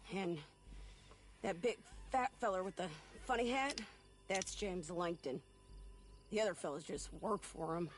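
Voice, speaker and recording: A drawling put-on character voice moves at a moderate pace with long, frequent pauses over clear background noise. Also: man, high pitch for a man. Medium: video game. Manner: drawling western speech.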